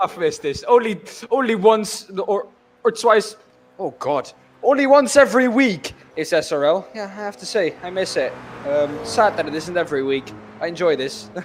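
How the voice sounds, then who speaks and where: The speaker's loudness swings widely, and the intonation is lively at a moderate pace. Noticeable background noise runs underneath. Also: man, high pitch for a man. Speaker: sim racing commentator. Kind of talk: live commentary.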